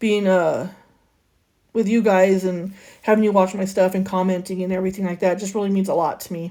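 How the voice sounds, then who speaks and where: This woman talks at a moderate pace and medium pitch, her dark, mellow tone carried on fairly even intonation. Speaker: crafting YouTuber. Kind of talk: casual voiceover tutorial. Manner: occasional stutter.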